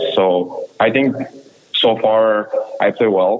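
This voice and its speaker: Over noticeable background noise, a man speaks with a Quebec accent. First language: French. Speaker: junior hockey player. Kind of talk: interview.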